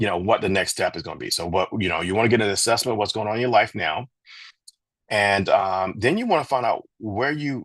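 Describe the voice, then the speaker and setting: Over a quiet background, a man talks at a fairly quick pace in a fairly low pitch with ordinary pitch variation. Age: 50s. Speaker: doctor giving health advice on radio. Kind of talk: radio health talk on a gospel show. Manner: halting, with many fillers and repetitions.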